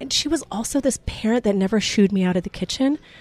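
A woman speaks with lively intonation and a somewhat breathy voice. The sound is dry and close with no echo. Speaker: restaurant owner. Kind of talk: interview.

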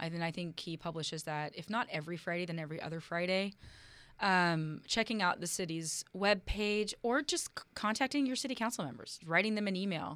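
In an unremarkable speaking voice, a woman with an American accent and fairly low pitch talks at a fairly quick pace with lively intonation, captured on a very clean recording with a silent background. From US West Coast, Oakland, California. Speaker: local politician. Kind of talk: interview. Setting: studio.

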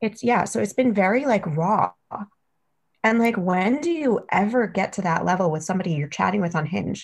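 A woman with an American accent speaks in a somewhat breathy voice with lively intonation. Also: medium pitch for a woman, moderate pace. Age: 30s. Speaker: podcast listener sharing dating story. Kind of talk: casual chat.

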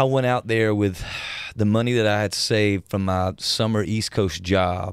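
On a very clean recording with a silent background, a man speaks at a moderate pace. His fairly low pitch follows a fairly even intonation. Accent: Southern US. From US South, South Georgia. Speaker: country musician. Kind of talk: casual interview chat. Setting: studio.

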